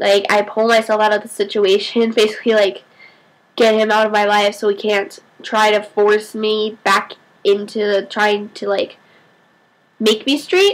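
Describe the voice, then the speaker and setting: Monotone and flat in intonation, a woman talks at a fairly slow pace. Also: fairly high pitch for a woman. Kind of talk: casual vlog talk to camera. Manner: stutters at times.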